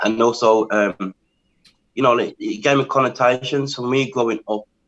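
With an English accent, a man speaks at a moderate pace in a medium-pitched voice with ordinary pitch variation, in a dry, close sound with no echo. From England. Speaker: spoken word poet. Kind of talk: interview.

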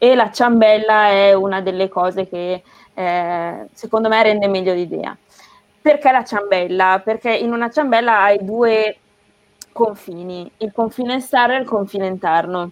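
A woman with a plain, everyday voice speaks at a fairly slow pace, her medium pitch varying in an ordinary way. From northern Italy, Emilia-Romagna (near Bologna). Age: 20s. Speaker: sports sustainability specialist, former competitive swimmer. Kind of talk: interview on a live stream.

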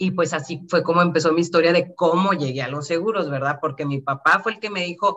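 In a bright, sharp tone, a woman with a fairly low pitch speaks at a moderate pace with lively intonation. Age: 40s. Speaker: insurance advisor. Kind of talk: interview.

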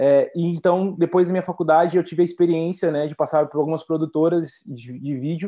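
Moderate pace, fairly even intonation and a Brazilian accent. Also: man. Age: 20s. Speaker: marketing entrepreneur. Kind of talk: interview.

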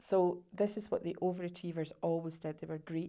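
In a Scottish accent, a woman speaks at medium pitch with monotone, flat intonation. Her tone is dark and mellow. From Scotland. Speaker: sales coach and entrepreneur. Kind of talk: interview.

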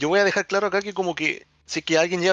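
With a Chilean accent, the speaker talks at a very fast pace. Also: man. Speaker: podcast host. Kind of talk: casual chat.

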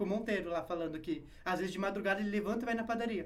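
A man's high-pitched, fairly even voice, with audible room echo and noticeable background noise. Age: 20s. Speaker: online personal trainer. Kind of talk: casual interview chat.

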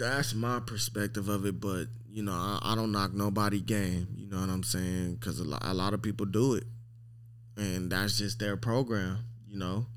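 Someone speaks with an American accent at a moderate pace and with fairly even intonation. Room echo is audible. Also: man, fairly low pitch for a man. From Long Beach, California. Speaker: dog breeder. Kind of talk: casual interview.

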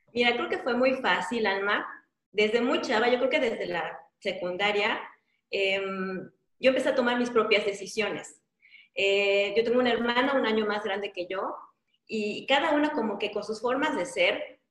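A woman speaks at a fairly high pitch and moderate pace, with ordinary pitch variation. Long, frequent pauses break up her speech, and room echo is audible. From Mexico, Yucatán (Mérida). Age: 40s. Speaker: life coach. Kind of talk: interview.

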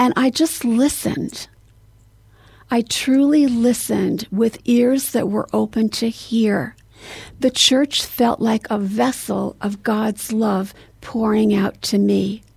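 A woman with an American accent speaks at a very slow pace, her voice fairly high and somewhat breathy. Her pitch varies in an ordinary way. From US Northeast. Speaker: memoir author. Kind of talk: interview. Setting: studio.

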